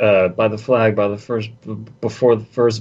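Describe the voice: Intonation remains fairly even. The delivery is plain reading aloud.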